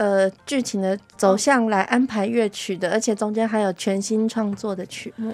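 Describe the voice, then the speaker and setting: At a moderate pace and with hardly any pauses, this is a plain, everyday voice. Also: woman. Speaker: music ensemble administrator. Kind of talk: interview chat. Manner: laughs often.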